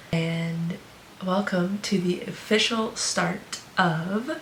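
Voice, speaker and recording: A woman speaks quietly at a very slow pace with ordinary pitch variation. Audible room echo and noticeable background noise are present. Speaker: fitness vlogger and online coach. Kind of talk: casual vlog talk.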